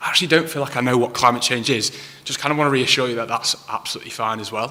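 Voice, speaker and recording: Over noticeable background noise, a man with a Manchester accent talks at a very fast pace, his medium pitch showing ordinary variation. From northern England, Manchester. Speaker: council climate officer. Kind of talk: public talk. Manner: hesitant, many ums.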